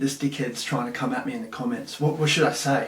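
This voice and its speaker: Very wide pitch swings amid noticeable background noise and audible room echo. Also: man. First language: Russian. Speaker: content creator, former maths teacher. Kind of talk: casual chat. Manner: animated.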